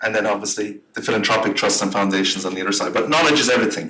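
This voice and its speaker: A man speaks in an Irish accent. His pace is very fast. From Ireland. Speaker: grants consultant and workshop presenter. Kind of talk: workshop presentation. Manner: animated.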